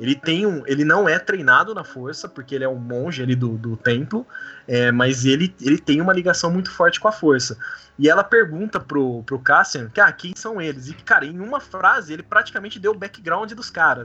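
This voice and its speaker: A man with a fairly high pitch talks at a moderate pace. His pitch swings very widely and his loudness rises and falls a great deal. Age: 30s. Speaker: Star Wars fan club organizer. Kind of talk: casual chat.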